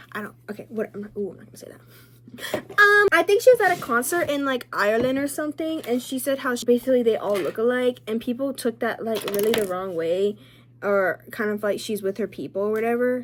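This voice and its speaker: A woman's high, lively voice at a very fast pace, with big swings in loudness over noticeable background noise. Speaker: lifestyle vlogger. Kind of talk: casual chat. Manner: casual, rambling speech with fillers.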